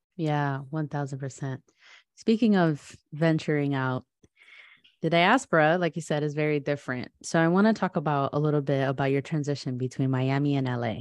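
A woman's very deep, low voice with an American accent, ordinary pitch variation and a moderate pace, in a dry, close sound with no echo against a quiet background. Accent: US English with Spanish code-switching. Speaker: podcast host. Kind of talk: casual interview chat. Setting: video call.

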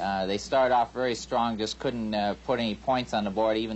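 A man's fairly low voice, an ordinary speaking voice, at a fairly quick pace with fairly even intonation. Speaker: sports betting analyst. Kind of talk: sports betting picks discussion.

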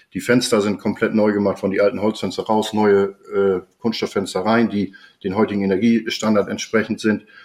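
This man's voice is fairly low in pitch, moving at a moderate pace. The intonation stays monotone and flat. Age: 50s. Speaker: homeowner, building materials merchant. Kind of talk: casual interview.

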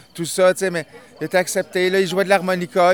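This man talks at a very fast pace with a high pitch. The sound is dry and close, with no echo. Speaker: event organizer and MC. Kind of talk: casual interview. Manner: hesitant, filler-heavy.

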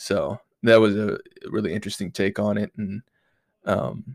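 A man speaks at a moderate pace with a fairly low pitch and ordinary pitch variation. His voice is nasal, with a slightly mellow tone and vocal fry.

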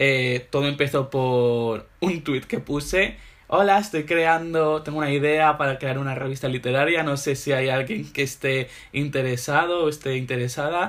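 With an animated tone, this man talks at a moderate pace in a fairly high pitch, his pitch varying in an ordinary way. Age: 20s. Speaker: literary magazine founder. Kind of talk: casual interview.

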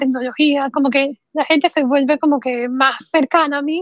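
A woman speaks at a high pitch in a flat, monotone way. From Panama. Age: 20s. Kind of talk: interview conversation.

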